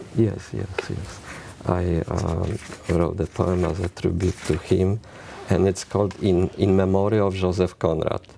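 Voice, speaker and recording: In a Polish accent, a man with a very deep, low pitch talks at a fairly slow pace and fairly even intonation, with noticeable background noise behind him. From Poland, near Krakow. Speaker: poet. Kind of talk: interview. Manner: halting.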